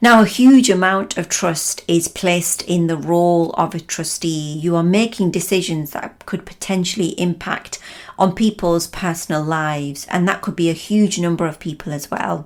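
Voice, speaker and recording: Moderate pace, hardly any pauses. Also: woman, fairly low pitch for a woman, ordinary pitch variation. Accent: Lancashire. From northern England, Lancashire. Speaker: trainer and coach. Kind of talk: podcast talk.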